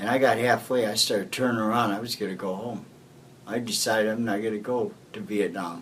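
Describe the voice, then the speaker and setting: Someone with an American accent talks at a fairly quick pace and with fairly even intonation, amid noticeable background noise and audible room echo. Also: man, medium pitch for a man. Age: 70s. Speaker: war veteran. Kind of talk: oral history interview.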